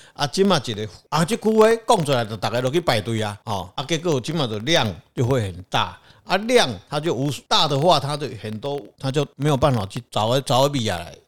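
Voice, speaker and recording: This man talks at a fairly quick pace with a medium pitch and very wide pitch swings. The recording is very clean, with a silent background. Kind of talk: casual chat.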